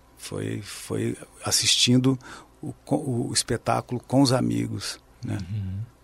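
A man at a very slow pace, big swings in loudness, amid noticeable background noise. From southern Minas Gerais, Brazil (Pouso Alegre). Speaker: guitarist and composer. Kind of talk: interview.

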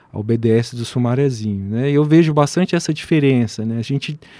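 This man's pitch moves in an ordinary way. He keeps to a moderate pace. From Brasília, Brazil. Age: 40s. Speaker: physician and professor. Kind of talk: radio interview. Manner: hesitant, many fillers.

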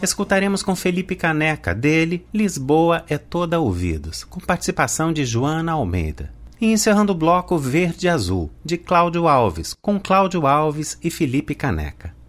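The man's pitch is fairly high with ordinary variation, and he moves at a moderate pace with hardly any pauses. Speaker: radio presenter. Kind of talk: radio music program presenting.

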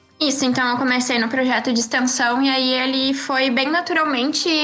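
Over noticeable background noise and audible room echo, a woman talks at a moderate pace in a high pitch with fairly even intonation. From Rio Grande do Sul, Brazil (Osório, north coast). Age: 20s. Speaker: young scientist. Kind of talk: interview.

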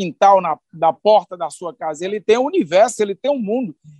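The delivery runs at a fairly quick pace with lively intonation. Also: man, dry, close sound with no echo. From Brazil, Ceará sertão (Northeast). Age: 50s. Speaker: state agrarian development secretary, former union leader. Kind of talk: interview.

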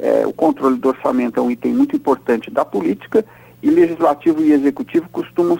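The recording is dry and close with no echo, as a man talks at a fairly quick pace. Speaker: political scientist and professor, weekly radio commentator. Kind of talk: radio commentary interview. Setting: recorded radio interview.

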